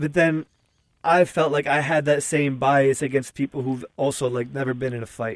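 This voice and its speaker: A man has an ordinary speaking voice, fairly high in pitch, with fairly even intonation at a moderate pace. The sound is dry and close, with no echo. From US Northeast, Newark, New Jersey. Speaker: journalist and podcast host. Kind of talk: casual interview conversation.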